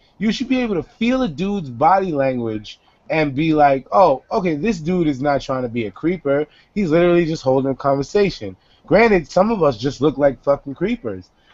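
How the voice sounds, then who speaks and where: A fairly high male voice with very wide pitch swings. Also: fairly quick pace. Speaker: web show host. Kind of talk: casual chat. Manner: animated.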